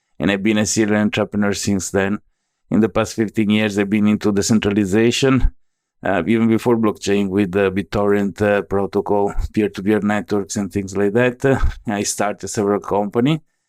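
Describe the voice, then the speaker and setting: On a very clean recording with a silent background, a man with an Italian accent talks at a fairly quick pace in a fairly low, monotone voice with flat intonation and very even loudness, the sound dry and close with no echo. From Italy, Venice area. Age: 40s. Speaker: tech entrepreneur, blockchain expert. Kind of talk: interview.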